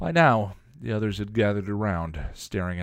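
What you hear is plain reading aloud.

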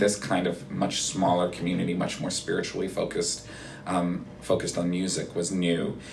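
Very deep, low-pitched man's voice at a fairly quick pace, with noticeable background noise. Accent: Canadian. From Canada, Toronto suburbs. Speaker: rabbi. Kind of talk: casual interview. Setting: office.

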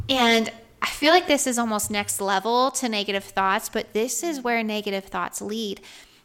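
Fairly high in pitch, a woman with an American accent and a plain, everyday voice speaks with ordinary pitch variation. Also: moderate pace. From US South, Georgia. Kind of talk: casual faith-based chat.

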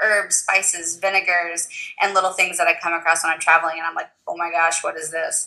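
A woman speaks in a Southern US accent. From US South, Tennessee. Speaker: photographer, food stylist and blogger. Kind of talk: casual interview chat.

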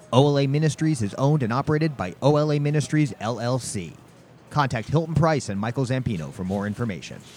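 A man of medium pitch speaks at a very fast pace. His intonation is lively. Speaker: podcast host. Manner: fast talker; energetic.

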